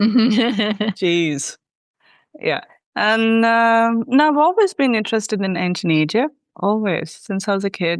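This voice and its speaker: A woman's fairly high-pitched voice. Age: 30s. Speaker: hieroglyphs student. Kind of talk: interview.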